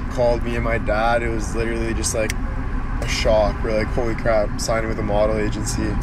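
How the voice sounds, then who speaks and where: A man's voice against loud background noise. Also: dry sound with no echo. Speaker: social media personality. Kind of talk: livestream chat. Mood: upbeat, grateful. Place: car. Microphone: phone near.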